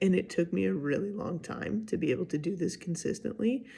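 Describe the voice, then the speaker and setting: A soft-spoken woman's voice at medium pitch, with very wide pitch swings. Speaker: vlogger. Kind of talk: casual monologue. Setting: at home, early morning.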